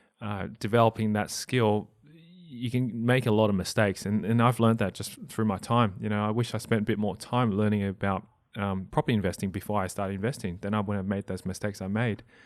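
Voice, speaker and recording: Very fast and in an Australian accent, a man speaks at a fairly low pitch with fairly even intonation, in a very clean recording with a silent background. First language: not English (family language). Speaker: property investor and podcast host. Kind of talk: interview. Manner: halting with frequent repetitions.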